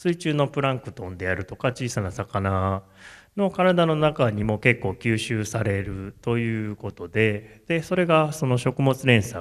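Against a quiet background, a man is heard. His pace is fairly slow. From Japan, Kamo, Tokushima; Tokushima, Japan. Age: 40s. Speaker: tea farmer; speaker. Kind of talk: solo stage talk. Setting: stage with audience. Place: hall. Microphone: handheld.

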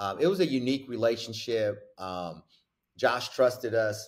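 Delivered at a moderate pace against a quiet background, the speech has lively intonation and an animated tone. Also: man. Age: 40s. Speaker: basketball coach. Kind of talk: casual chat. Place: office. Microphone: webcam.

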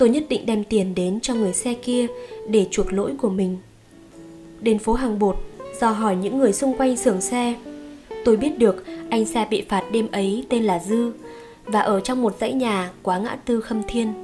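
With music in the background, a woman with a Northern Vietnamese accent speaks at a fairly high pitch, using ordinary pitch variation and long, frequent pauses. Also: moderate pace. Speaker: audiobook narrator. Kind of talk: audiobook short story reading.

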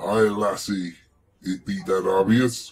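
Putting on a character voice, a man speaks at a fairly slow pace and a fairly low pitch. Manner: flirtatious, playful.

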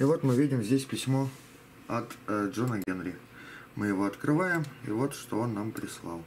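Long, frequent pauses and lively intonation over light background noise. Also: man, medium pitch for a man, moderate pace. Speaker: hobbyist robot builder; hobbyist demonstrator. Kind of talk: video tutorial and demonstration. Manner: hesitant with filler sounds. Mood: relaxed, wry humor. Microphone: phone near.

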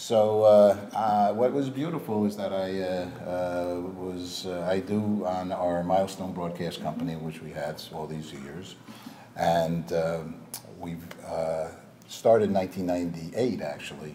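A man with an American accent speaks very slowly in a very deep, low pitch, with ordinary pitch variation and big swings in loudness. Audible room echo and light background noise surround him. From New York suburbs. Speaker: TV and marketing veteran; interview guest. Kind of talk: interview. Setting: Hollywood office. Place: studio. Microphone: lapel.

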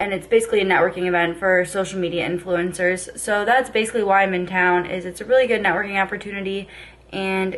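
Talking at a very fast pace, a woman speaks. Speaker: vlogger. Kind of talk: casual vlog chat. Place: home room. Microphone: phone near.

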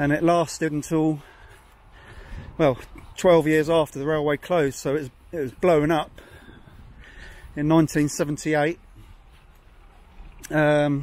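A man speaks at a fairly slow pace with long, frequent pauses. His intonation is monotone and flat, and the sound is dry with no echo. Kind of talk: casual walking commentary. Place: open country. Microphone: phone near.

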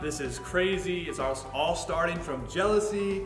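Clear music plays behind a man speaking at a fairly slow pace. His pitch varies in an ordinary way. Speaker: church teacher. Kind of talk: Bible story teaching to camera. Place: church.

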